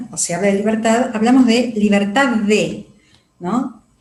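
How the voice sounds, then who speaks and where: A woman with a fairly high voice speaks at a moderate pace with ordinary pitch variation. There is audible room echo. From Argentina. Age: 60s. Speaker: psychologist. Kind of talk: interview.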